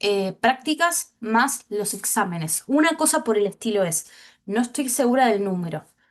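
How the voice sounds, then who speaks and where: A woman with a fairly high voice speaks at a fairly slow pace, her pitch swinging very widely. The background is quiet. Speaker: teacher. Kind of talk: online class.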